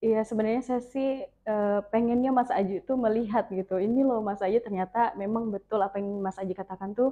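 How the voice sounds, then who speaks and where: Woman's medium-pitched voice at a fairly quick pace, with fairly even intonation. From North Kalimantan, Tarakan. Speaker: radio announcer and content creator. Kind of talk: interview podcast.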